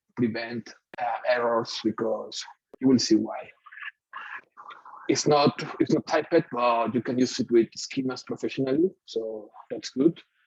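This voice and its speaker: A man's medium-pitched voice moves at a fairly slow pace in dry, close sound with no echo. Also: long, frequent pauses. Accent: Mexican. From Mexico. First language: Spanish. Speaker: software engineer. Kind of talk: tech meetup talk with live coding. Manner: hesitant, with many fillers.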